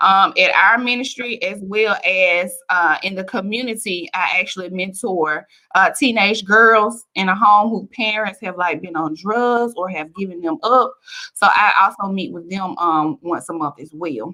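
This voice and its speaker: The speaker is loud, with a bright, sharp tone, and talks at a fairly slow pace. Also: woman, medium pitch for a woman, ordinary pitch variation. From Alabama, US South (Bessemer). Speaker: author. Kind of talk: interview. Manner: animated.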